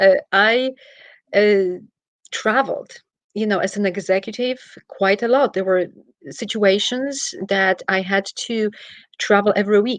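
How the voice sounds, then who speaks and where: Speaking at a fairly slow pace in a Polish accent, a woman has a fairly high pitch, with a quiet background and a dry, close sound with no echo. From Poland. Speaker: travel executive and wellness practitioner. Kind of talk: interview. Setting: livestream. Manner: animated.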